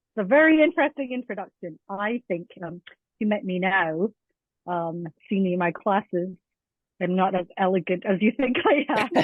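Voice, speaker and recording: Here a woman talks at a moderate pace. Her pitch sits in the medium range, and her intonation is lively. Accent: American. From Scotland, Edinburgh. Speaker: teacher, language coordinator. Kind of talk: interview podcast.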